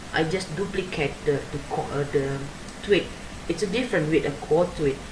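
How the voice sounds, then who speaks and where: With audible room echo and noticeable background noise, a woman speaks at a moderate pace in a very deep, low voice with ordinary pitch variation. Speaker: graduate student. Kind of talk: academic paper presentation. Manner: halting, many fillers.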